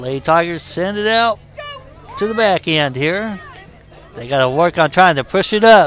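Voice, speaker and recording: With lively intonation and a high voice, a man talks at a moderate pace. He leaves long, frequent pauses, and crowd noise sounds in the background. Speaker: sports commentator. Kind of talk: live play-by-play sports commentary. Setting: broadcast from a sports venue. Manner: matter-of-fact, low-key, calling the action.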